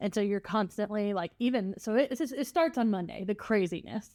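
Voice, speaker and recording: A woman speaks at a moderate pace with a fairly high pitch and ordinary pitch variation, recorded very cleanly against a silent background. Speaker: podcast co-host and florist. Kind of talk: casual chat. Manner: animated.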